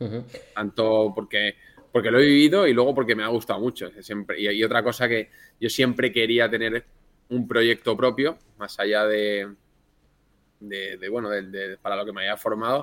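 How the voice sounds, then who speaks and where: A man speaks at medium pitch and a moderate pace with fairly even intonation. He leaves long, frequent pauses. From Spain, Elda (Alicante). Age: 30s. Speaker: restaurant chain founder, former investment banker. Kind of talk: podcast interview.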